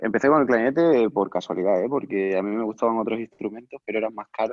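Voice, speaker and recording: At a very fast pace, a man speaks at a medium pitch. His pitch variation is ordinary. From Spain, Cáceres (Extremadura). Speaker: professional clarinetist and teacher. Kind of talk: interview, casual chat.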